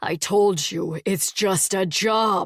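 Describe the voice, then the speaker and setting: A growling put-on character voice at middle pitch. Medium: read story. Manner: low undertone, weary.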